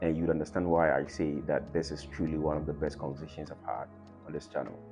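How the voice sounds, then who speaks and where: A man's very deep, low voice comes through with music in the background. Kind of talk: podcast intro to camera.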